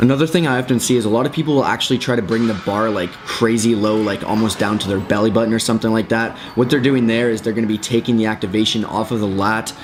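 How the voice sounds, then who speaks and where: A man at medium pitch rattles along at a very fast pace with hardly any pauses, his tone energetic against noticeable background noise. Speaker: fitness youtuber. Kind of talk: exercise tutorial. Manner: casual, energetic.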